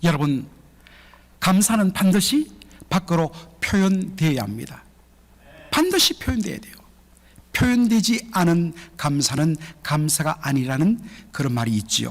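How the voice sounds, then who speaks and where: A high-pitched man speaks at a fairly slow pace with very wide pitch swings. He leaves long, frequent pauses. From Gyeongsang region, South Korea. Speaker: pastor. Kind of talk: sermon. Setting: church.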